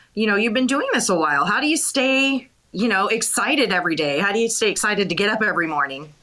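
With an American accent, a woman talks at a very fast pace and a medium pitch, her pitch swinging very widely while her loudness stays very even, over noticeable background noise. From Montana. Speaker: radio co-host and interviewer. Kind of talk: interview. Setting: live audio chat room.

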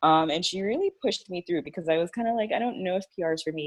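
This is an ordinary speaking voice with an American accent. The intonation is lively. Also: woman. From Miami, Florida. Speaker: PR agency owner. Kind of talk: casual chat.

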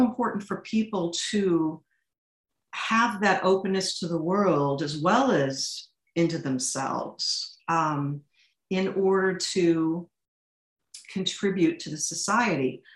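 Speaking at a very slow pace, a woman with a Midwestern American accent uses a medium pitch and lively intonation. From St. Louis, Missouri. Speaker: literature teacher and author. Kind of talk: interview conversation.

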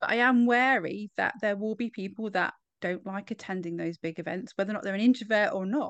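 The sound is dry and close with no echo, over a quiet background. The pitch variation is ordinary. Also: woman, medium pitch for a woman, fairly quick pace. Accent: British. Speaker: podcast host. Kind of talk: casual interview chat.

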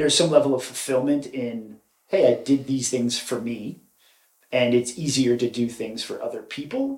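An ordinary speaking voice holds a moderate pace. The intonation stays fairly even. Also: man, medium pitch for a man. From North Carolina (Cary/Raleigh area), born in New York. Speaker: commercial real estate tech worker. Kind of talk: casual interview chat.

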